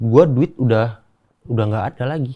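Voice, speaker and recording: The voice belongs to a man. His tone is dark and mellow, and somewhat breathy. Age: 20s. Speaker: podcast guest. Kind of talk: casual chat.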